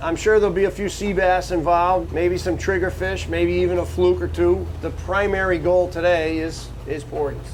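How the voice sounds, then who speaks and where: Audible room echo is present. A man speaks at a moderate pace within it. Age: 70s. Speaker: party boat captain. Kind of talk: casual interview.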